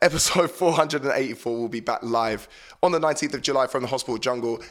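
A man's voice sits at a medium pitch with ordinary pitch variation. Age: 30s. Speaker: DJ and radio host. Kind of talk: radio show links. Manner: casual, chatty.

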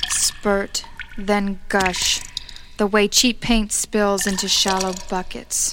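A woman's very slow, monotone, flat delivery amid noticeable background noise. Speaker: co-host and co-producer of poetry show. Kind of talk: casual co-hosting banter, intro.

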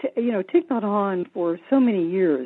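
With an American accent, a woman talks at a fairly slow pace in a medium pitch, her voice making very wide pitch swings. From US South. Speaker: Zen teacher and hospice chaplain. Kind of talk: interview. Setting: phone call.

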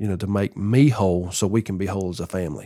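A man with a Southern US accent, a dark, mellow tone and ordinary pitch variation, in a very clean recording with a silent background. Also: dry, close sound with no echo. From US South, Tennessee. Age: 40s. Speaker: former pro baseball player. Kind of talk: testimony.

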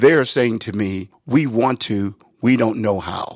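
At a fairly slow pace, a man uses a normal speaking voice with ordinary pitch variation in a dry, close sound with no echo. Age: 60s. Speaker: pastor. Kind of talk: interview.

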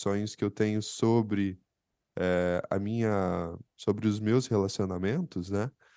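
With a quiet background, a man speaks at a fairly slow pace in a fairly low pitch and a dark, mellow tone. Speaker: psychologist podcast co-host. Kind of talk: casual chat.

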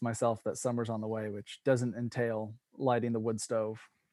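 In an American accent, a man with a medium pitch and a dark, mellow tone speaks at a moderate pace, the sound dry and close with no echo. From US West Coast, Bend, Oregon. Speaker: former pro cyclist, gravel racer. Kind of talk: interview. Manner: halting, many fillers.

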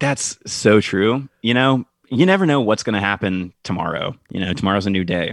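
This man's voice is fairly low in pitch, with ordinary pitch variation. He speaks at a moderate pace. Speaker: podcast guest. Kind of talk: casual chat. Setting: video call. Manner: hesitant, filler-heavy.

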